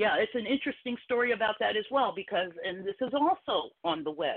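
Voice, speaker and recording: This is a plain, everyday voice, moving fairly quickly with lively intonation. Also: woman. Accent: American. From Philadelphia. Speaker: caller. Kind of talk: call-in talk radio discussion.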